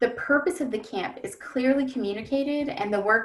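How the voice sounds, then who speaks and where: With vocal fry and very wide pitch swings, a woman talks at a fairly quick pace. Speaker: education webinar presenter. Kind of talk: webinar presentation. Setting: webinar.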